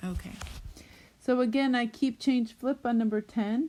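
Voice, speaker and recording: A woman's dark, mellow tone comes through in a very clean recording with a silent background. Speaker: math teacher. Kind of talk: tutorial. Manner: casual, with fillers.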